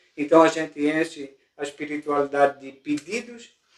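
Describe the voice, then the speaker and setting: The man's pace is moderate. He talks at a fairly high pitch. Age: 60s. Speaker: spiritist speaker. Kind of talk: informal talk to a group. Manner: halting, repeats words.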